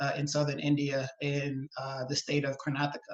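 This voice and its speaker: A man with an American accent talks at a fairly quick pace and a fairly high pitch. There is noticeable background noise. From US South, New Orleans, Louisiana. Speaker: environmental policy advocate. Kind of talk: webinar interview. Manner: halting, many fillers and repetitions.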